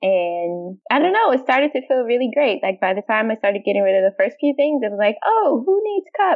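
A woman with a high voice and an American accent, fairly quick with hardly any pauses and very wide pitch swings. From US, Washington D.C. area. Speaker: software developer. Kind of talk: casual chat.

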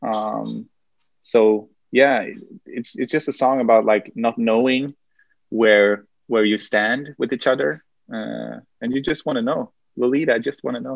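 A fairly slow delivery with a Swedish accent and ordinary pitch variation. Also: man, medium pitch for a man. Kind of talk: interview conversation. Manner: halting, hesitant.

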